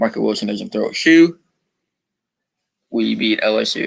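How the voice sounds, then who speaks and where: At a moderate pace, a man is talking. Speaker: sports live streamer. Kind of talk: live sports chat. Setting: live stream. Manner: loud when excited.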